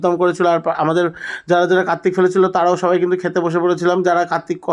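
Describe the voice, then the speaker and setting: A man speaks at a high pitch. His tone is animated. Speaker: vlogger. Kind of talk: vlog voiceover narration. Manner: chatty, animated.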